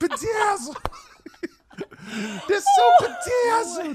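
Doing a put-on character voice, a man speaks at a very slow pace with an extremely high pitch. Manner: exaggerated, playful.

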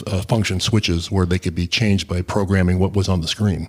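Someone with an American accent speaks very fast in a monotone, flat manner. The recording is very clean, with a silent background. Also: man. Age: 70s. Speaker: e-bike hobbyist and customer. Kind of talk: casual interview chat. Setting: in-person studio.

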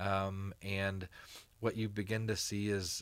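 On a very clean recording with a silent background, a man with an American accent speaks at a fairly low pitch. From East Texas, Allen. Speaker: chef and nonprofit founder. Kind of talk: interview conversation. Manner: halting, many repeated words and fillers.

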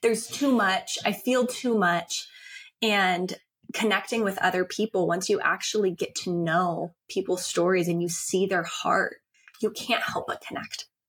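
Speaking at a fairly slow pace, a woman has a normal speaking voice at medium pitch with ordinary pitch variation. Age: 30s. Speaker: podcast host and founder of a women's empowerment brand. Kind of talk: interview.

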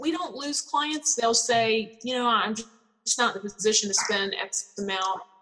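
At a fairly slow pace and with hardly any pauses, a woman speaks in an unremarkable speaking voice, fairly high in pitch. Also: ordinary pitch variation. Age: 50s. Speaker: spa business founder. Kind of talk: interview.

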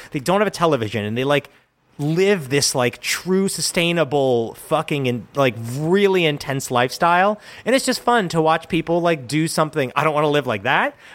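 With a plain, everyday voice, a man speaks at a fairly high pitch and a moderate pace, his intonation lively. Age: 30s. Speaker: podcast co-host. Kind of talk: casual chat; scripted narration.

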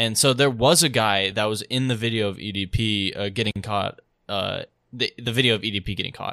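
A man with a medium-pitched, bright and sharp voice speaks with fairly even intonation, recorded dry and close with no echo, very clean, against a silent background. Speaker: podcast host. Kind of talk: casual chat. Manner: casual, frequent filler words.

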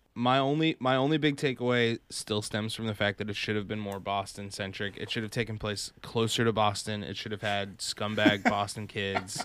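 A man with an American accent speaks at a moderate pace with hardly any pauses, fairly low pitch and fairly even intonation in a plain, everyday voice, on a very clean recording with a silent background. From Massachusetts. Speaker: web series host. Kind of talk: casual chat.

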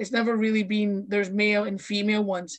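The voice is in a Scottish accent. It sounds somewhat breathy. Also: woman. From Scotland, Fife (Kirkcaldy). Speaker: pro wrestler. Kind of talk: casual chat.

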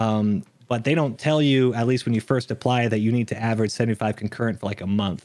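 Fast-talking at a very fast pace, a man with an American accent speaks at a medium pitch with fairly even intonation and very even loudness. The recording is very clean, with a silent background. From Texas. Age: 30s. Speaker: gaming streamer and content creator. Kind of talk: casual interview chat.

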